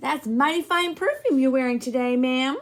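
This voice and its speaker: In a put-on character voice, a woman speaks at a fairly quick pace. Her pitch is high. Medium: read story. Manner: courteous, gentle.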